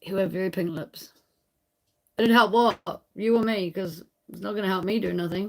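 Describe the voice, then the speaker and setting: With a New Zealand accent, a woman talks at a moderate pace and medium pitch, her intonation fairly even. Her loudness swings widely, and long, frequent pauses break her speech. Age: 30s. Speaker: livestreamer on rural homestead. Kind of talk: casual livestream chat with viewers.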